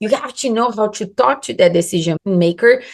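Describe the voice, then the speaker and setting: The speaker has a Brazilian Portuguese accent and lively intonation. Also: woman. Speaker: sales and lead generation coach. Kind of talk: tutorial.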